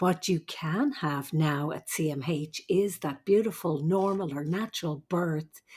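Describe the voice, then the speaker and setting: Somewhat breathy speech with an Irish accent comes at a fairly slow pace with ordinary pitch variation. The recording is very clean, with a silent background. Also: woman. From Ireland. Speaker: nurse midwife. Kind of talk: interview.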